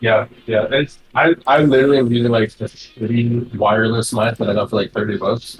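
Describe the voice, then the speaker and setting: This man speaks at a fairly quick pace with hardly any pauses, his medium-pitched voice somewhat breathy. His intonation stays fairly even. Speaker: fighting game commentator. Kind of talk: casual chat. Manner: monotone; soft-spoken. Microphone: cheap wireless mic, sounds filtered and bugs out.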